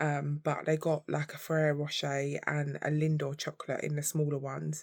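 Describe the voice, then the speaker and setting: In an English accent, a woman with a very deep, low pitch speaks at a moderate pace with monotone, flat intonation. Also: very clean recording, silent background. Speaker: vlogger. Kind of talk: casual vlog chat. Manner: halting.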